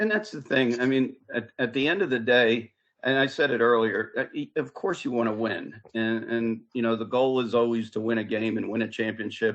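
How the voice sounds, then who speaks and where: A man speaks at medium pitch and a moderate pace, with fairly even intonation. It is an ordinary speaking voice. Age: 60s. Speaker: football head coach. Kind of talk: interview.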